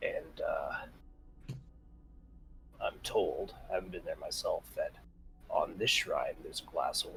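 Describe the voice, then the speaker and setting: A man uses a put-on, raspy character voice at a fairly slow pace with long, frequent pauses. Clear background noise runs beneath him. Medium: actual play. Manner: casual, rambling, folksy.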